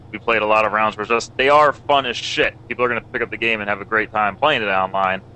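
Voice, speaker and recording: At a very fast pace with hardly any pauses, a man speaks with a fairly low pitch and fairly even intonation. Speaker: gamer discussing multiplayer. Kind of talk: casual discussion. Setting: live stream voice chat.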